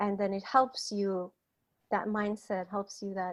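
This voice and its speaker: Against a quiet background, a woman speaks at a medium pitch. Her pace is moderate and her intonation monotone and flat. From Iran, Kurdistan Province. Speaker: writer and activist. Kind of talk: interview. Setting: online call.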